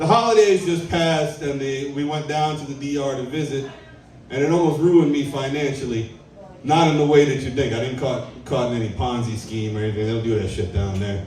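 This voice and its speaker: An animated man at a fairly high pitch and fairly quick pace, lively intonation, audible room echo and noticeable background noise. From Trinidad and Tobago. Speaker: stand-up comedian. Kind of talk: stand-up. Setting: stage with audience.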